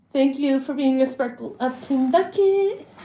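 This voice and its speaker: Loud and very slow, a woman with a high pitch talks with lively intonation. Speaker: livestreamer. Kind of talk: casual chat. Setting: livestream with chat.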